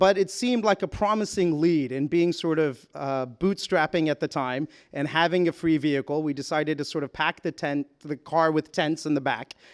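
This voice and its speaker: A plain, everyday voice from a man with an American accent, fairly high in pitch with ordinary variation, at a moderate pace with hardly any pauses, in a very clean, dry, close recording with a silent background and no echo. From US, Houston, Texas. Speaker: nonprofit co-founder. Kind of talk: conference talk.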